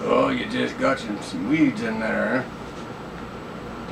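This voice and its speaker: A man's put-on character voice at a very slow pace over loud background noise. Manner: sly, feigning innocence.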